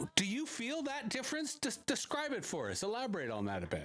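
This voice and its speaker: A man with a Canadian accent at a moderate pace, very wide pitch swings, and noticeable background noise. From Canada, Toronto. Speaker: podcast host. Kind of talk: interview. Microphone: poor audio quality.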